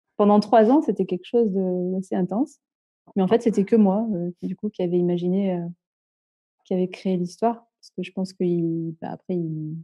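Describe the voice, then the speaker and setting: Talking at a fairly quick clip, a woman with a medium-pitched voice uses ordinary pitch variation, big swings in loudness, and long, frequent pauses. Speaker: caller seeking spiritual guidance. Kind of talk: casual chat. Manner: halting.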